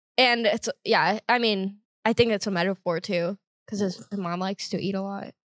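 A woman has a plain, everyday voice at a medium pitch, talking at a moderate pace with fairly even intonation. The sound is dry and close with no echo. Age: 20s. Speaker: comedian. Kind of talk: casual chat. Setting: studio.

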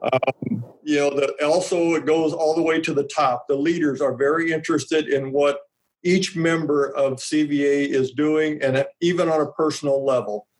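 A man talks with a Midwestern American accent at a fairly high pitch and moderate pace. His intonation stays fairly even, his loudness very even, and he hardly pauses at all. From Nebraska. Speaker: grain marketing specialist. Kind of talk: casual interview.

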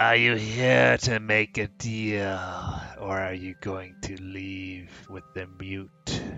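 Over music in the background, a man puts on a gravelly character voice, fairly low in pitch, and speaks very slowly.

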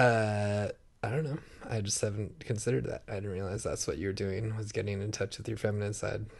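With an unremarkable speaking voice, a man talks at a fairly quick pace, his pitch fairly low and his intonation fairly even. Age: 30s. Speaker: podcast co-host. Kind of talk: casual chat.

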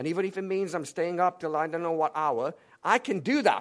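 A high-pitched man at a fairly quick pace on a very clean recording with a silent background. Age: 40s. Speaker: pastor. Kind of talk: sermon. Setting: church.

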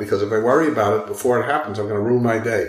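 Noticeable background noise surrounds a man who talks very fast. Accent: American. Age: 70s. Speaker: author and walker. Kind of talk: casual interview chat.

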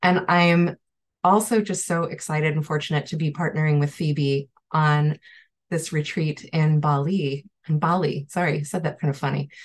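Somewhat breathy and very deep, low in pitch, a woman with an American accent speaks over a quiet background. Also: fairly even intonation, moderate pace. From Chicago area. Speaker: Ayurvedic practitioner. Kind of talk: online panel conversation.

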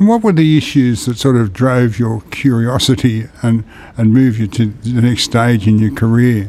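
A man speaks with an Australian accent at a moderate pace. His voice is medium in pitch, with a dark, mellow tone. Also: ordinary pitch variation, very even loudness. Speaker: podcast host. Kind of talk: interview.

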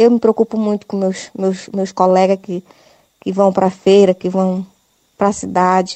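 The woman talks at a moderate pace with a medium pitch. Her intonation is monotone and flat. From Ituqui region, Santarém, Pará. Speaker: rural producer. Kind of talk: recorded complaint. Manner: halting.

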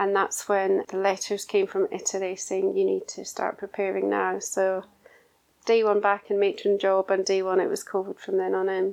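A woman speaks in a Scottish accent. Her pace is moderate. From Scotland. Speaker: intensive care nurse matron. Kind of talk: interview.

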